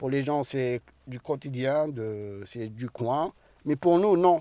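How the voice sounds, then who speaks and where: In a dry, close sound with no echo, a man with a dark, mellow tone speaks at a very slow pace. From Algeria. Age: 30s. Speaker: asylum seeker, workshop participant. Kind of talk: testimony.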